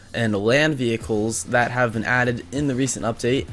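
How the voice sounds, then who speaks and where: A man is speaking. Music plays behind him. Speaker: gaming youtuber. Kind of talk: gameplay commentary. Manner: fast; animated.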